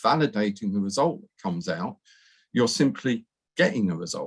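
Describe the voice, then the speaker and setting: A man speaks in a British accent. His pitch swings very widely. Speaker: professor. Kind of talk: lecture. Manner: fast.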